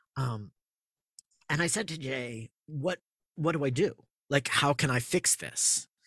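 A man with an American accent and a fairly high pitch, bright, sharp tone, ordinary pitch variation, a fairly slow pace and long, frequent pauses, in a dry, close sound with no echo. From Massachusetts, Andover near Boston. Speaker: theater sound designer and composer. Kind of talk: casual interview. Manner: halting, many fillers.

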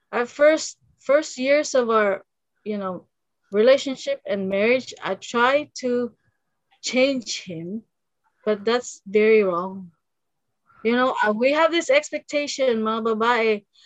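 A woman speaks at a very slow pace in a high voice. Her speech has long, frequent pauses. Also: ordinary pitch variation. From Philippines, Misamis Occidental. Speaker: podcast guest. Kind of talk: casual chat.

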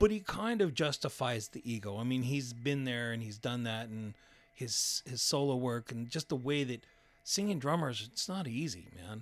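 In an ordinary speaking voice, a man with an American accent talks at a moderate pace, medium in pitch, with lively intonation on a very clean recording against a silent background. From El Paso, Texas. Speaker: burger restaurant owner and copywriter. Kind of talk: casual chat. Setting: studio.

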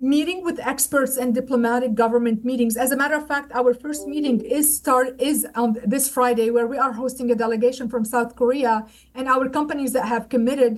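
A woman with a Lebanese accent, high-pitched, fairly even in intonation, fairly quick, with hardly any pauses. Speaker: trade center director. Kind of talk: interview.

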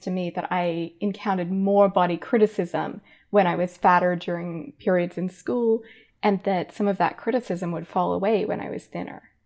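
Against a quiet background, a woman speaks at a moderate pace. Her pitch is medium. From Australia. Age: 30s. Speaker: philosophy professor and author. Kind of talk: interview conversation.

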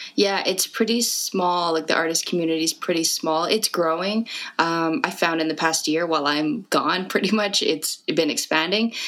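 Over noticeable background noise, a woman speaks at a moderate pace with hardly any pauses, using a fairly low pitch, ordinary pitch variation and very even loudness. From Canada, Fort McMurray, Alberta. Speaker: rapper. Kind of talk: interview.

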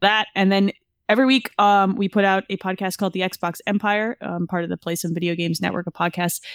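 A woman talks at a very fast pace in a medium pitch. The recording is very clean, dry and close, with no echo and a silent background. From US, Italian-American. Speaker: podcast co-host of a gaming show. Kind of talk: casual podcast interview. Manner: loud, animated.

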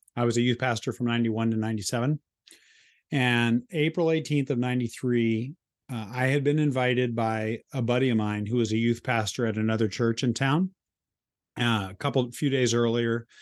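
A plain, everyday voice with fairly even intonation and very even loudness. The background is quiet. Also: man. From US, moved around (California, New York, Kansas). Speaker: author and speaker. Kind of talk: casual interview chat.

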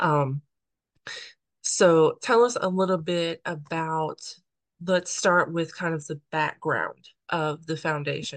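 The woman speaking has a fairly low pitch. She goes at a very slow pace, with long, frequent pauses. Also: ordinary pitch variation. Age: 30s. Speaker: podcast host. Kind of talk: interview.

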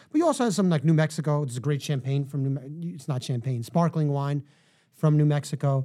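On a very clean recording with a silent background, a man with a New York accent talks at a very fast pace, his pitch fairly high and his tone dark and mellow. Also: ordinary pitch variation. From New York City, Manhattan. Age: 40s. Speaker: wine shop owner and author. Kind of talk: casual chat.

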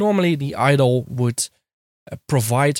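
With a non-native accent, a man speaks at a moderate pace in a dry, close sound with no echo. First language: not English. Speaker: podcast host. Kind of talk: solo podcast monologue. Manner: hesitant, many fillers.

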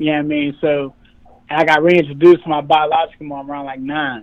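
A man with a plain, everyday voice talks at a fairly quick pace with fairly even intonation. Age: 20s. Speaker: internet personality telling his life story. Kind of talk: interview.

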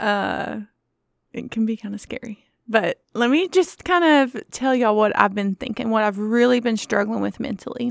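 A woman's unremarkable speaking voice, fairly high in pitch with ordinary variation, at a moderate pace, in a very clean, dry, close recording with a silent background and no echo. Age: 40s. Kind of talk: casual faith-based solo talk.

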